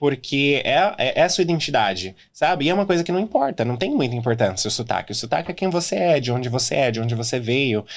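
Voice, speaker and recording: A man talks very fast with lively intonation. His pitch is medium. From Brazil, São Paulo state (Mogi das Cruzes). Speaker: regional manager of a dental group. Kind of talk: interview.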